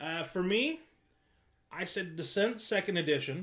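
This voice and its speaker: A man speaks loud and at a high pitch, with ordinary pitch variation. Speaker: board game group host. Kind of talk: casual chat.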